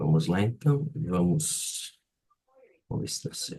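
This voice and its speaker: A somewhat breathy man's voice with very wide pitch swings at a fairly slow pace. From Brazil, Florianópolis (Santa Catarina). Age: 30s. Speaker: photographer. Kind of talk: presentation in live workshop. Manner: halting.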